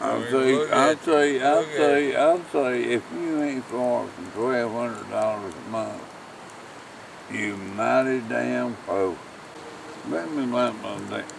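Mumbling at a very slow pace, a man speaks with ordinary pitch variation, the sound dry with no echo and noticeable background noise behind him. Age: old. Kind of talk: casual talk around a campfire. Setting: outdoors. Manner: drunk, mumbling, rambling. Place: open country. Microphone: camera far.

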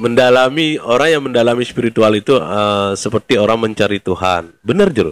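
In an ordinary speaking voice, a man at medium pitch talks with lively intonation and hardly any pauses, the sound dry and close with no echo. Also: fairly quick pace, very even loudness. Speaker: podcast host. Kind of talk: casual interview chat.

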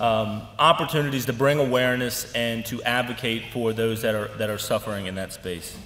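A man at a fairly quick pace with fairly even intonation, light background noise and audible room echo. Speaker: organization leader giving annual report. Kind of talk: formal speech. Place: hall. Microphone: podium.

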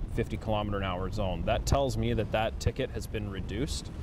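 A man with a fairly low pitch speaks at a moderate pace, the sound dry with no echo and noticeable background noise behind him. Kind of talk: explanatory interview answer. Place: car.

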